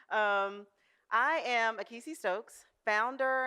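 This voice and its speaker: A woman speaks loudly with a bright, sharp tone. The recording is very clean, with a silent background. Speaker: food company founder. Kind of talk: conference presentation. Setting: stage with audience.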